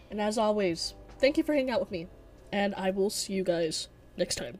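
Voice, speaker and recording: With music in the background, a woman speaks at a fairly quick pace in a medium pitch with lively intonation. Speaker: segment host. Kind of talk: casual Q&A segment. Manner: casual, slangy.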